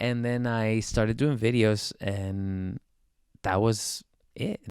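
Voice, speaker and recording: A man speaks with a Spanish accent. His pitch is medium. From Spain. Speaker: singer-songwriter. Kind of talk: casual interview. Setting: studio.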